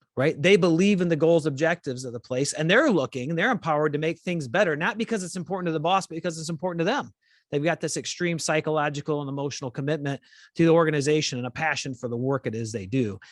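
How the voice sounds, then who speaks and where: A man's fairly high voice at a very fast pace, ordinary pitch variation, dry and close with no echo, over a quiet background. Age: 40s. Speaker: podcast host, former police leader. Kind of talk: interview podcast conversation.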